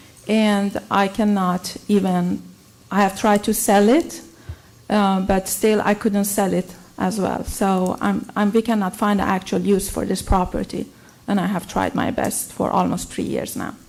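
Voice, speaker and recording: A fairly slow, monotone, flat delivery with a non-native accent. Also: woman, medium pitch for a woman. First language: not English. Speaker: applicant, beauty salon owner. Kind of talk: public comment at council hearing. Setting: city council meeting. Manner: halting.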